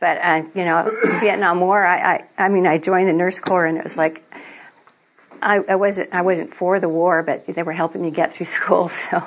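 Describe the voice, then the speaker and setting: A woman speaks at a moderate pace in a monotone, flat intonation. Noticeable background noise can be heard. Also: fairly low pitch for a woman. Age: 60s. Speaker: registered nurse and medical cannabis activist. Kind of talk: lecture.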